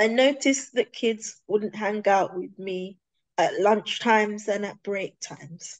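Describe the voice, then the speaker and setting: With a British accent, a woman speaks at a very slow pace, her pitch fairly high and varying in an ordinary way. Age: 30s. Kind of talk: testimony.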